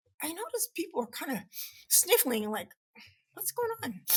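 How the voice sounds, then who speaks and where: With a raised, projected voice, a woman speaks at a moderate pace in an extremely high, bright and sharp tone with very wide pitch swings. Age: 70s. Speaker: behavior scientist and author. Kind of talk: podcast interview answer.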